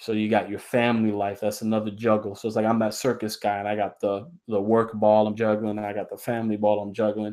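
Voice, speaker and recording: Very fast and with hardly any pauses, a man speaks in a flat monotone at a fairly low pitch, his tone dark and mellow. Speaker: comic creator and live streamer. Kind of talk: live stream monologue. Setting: live video stream. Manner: halting, repetitive.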